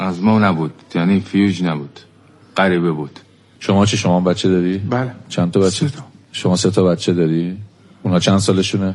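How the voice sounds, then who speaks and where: Very deep and low, a man's voice moves at a fairly quick pace with ordinary pitch variation. He leaves long, frequent pauses. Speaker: radio host interviewing criminal suspects. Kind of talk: interview.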